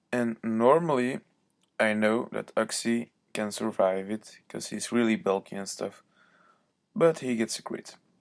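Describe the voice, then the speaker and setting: Very slow speech from a man at a medium pitch, its intonation fairly even. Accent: Belgian. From Belgium. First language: not English. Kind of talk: video game commentary. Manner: casual, hesitant.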